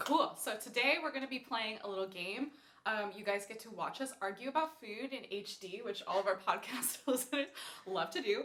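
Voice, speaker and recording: The speaker has lively intonation and big swings in loudness at a moderate pace. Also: woman, fairly high pitch for a woman. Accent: Californian. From California, Thousand Oaks. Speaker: podcast host, classical singer. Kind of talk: casual chat.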